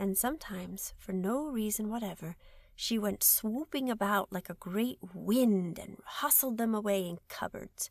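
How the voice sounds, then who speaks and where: A woman with an American accent talks in a normal speaking voice at a fairly slow pace. Her pitch is fairly high, with ordinary pitch variation. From United States. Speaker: audiobook narrator. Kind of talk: children's audiobook reading. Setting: studio.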